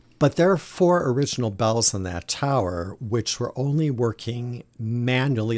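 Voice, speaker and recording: A man with an ordinary speaking voice, medium in pitch and fairly slow in pace, in a very clean recording with a silent background and a dry, close sound free of echo. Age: 50s. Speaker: liturgical music director. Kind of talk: casual interview.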